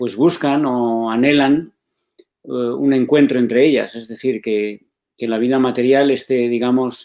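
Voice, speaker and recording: Over a quiet background, a man with a dark, mellow tone speaks slowly-ish, at a fairly slow pace, in a medium pitch with fairly even intonation. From Spain. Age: 60s. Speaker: spiritual author and foundation director. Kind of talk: interview. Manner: reflective, with many hesitations.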